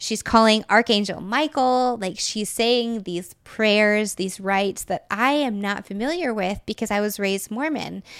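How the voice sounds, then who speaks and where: In a very clean recording with a silent background, a woman with a normal speaking voice and an American accent talks at a fairly slow pace, her fairly high pitch showing ordinary variation. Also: hardly any pauses. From Texas. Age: 30s. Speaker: tarot reader and writer. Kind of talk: casual interview chat.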